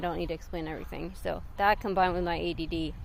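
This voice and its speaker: Speaking at a fairly quick pace, a woman talks with an American accent. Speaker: YouTuber. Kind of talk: casual vlog commentary. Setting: outdoors collecting eggs. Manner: fast; hesitant, many fillers.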